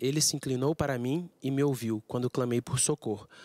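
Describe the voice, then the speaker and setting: Speaking at a moderate pace, a man with a fairly high pitch shows ordinary pitch variation in a dry recording with no echo. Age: young. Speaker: tenor singer; guest. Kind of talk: casual chat; reading aloud. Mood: calm, reflective. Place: studio. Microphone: handheld.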